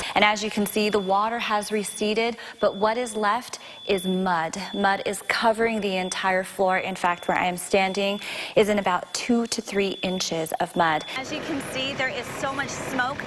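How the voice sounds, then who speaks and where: Noticeable background noise surrounds a woman with an American accent. She speaks at a moderate pace in a medium pitch with ordinary pitch variation. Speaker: TV news anchor and reporter. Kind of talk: news montage and studio anchor reads.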